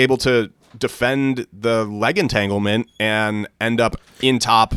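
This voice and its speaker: Recorded very cleanly against a silent background, a man with an American accent has a bright, sharp tone, ordinary pitch variation, and a dry, close sound with no echo. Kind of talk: sports commentary, casual.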